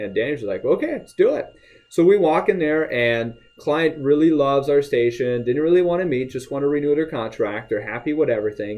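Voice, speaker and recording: A man speaks in an ordinary speaking voice. His pitch is fairly high, with ordinary pitch variation. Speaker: radio advertising sales rep / sales trainer. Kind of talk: sales training pep talk, casual talk to camera. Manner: upbeat, conversational, motivational.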